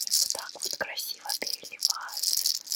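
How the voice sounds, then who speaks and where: Whispering at a very slow pace, the voice has a gentle tone. Noticeable background noise is present. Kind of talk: ASMR video. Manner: whispered, gentle.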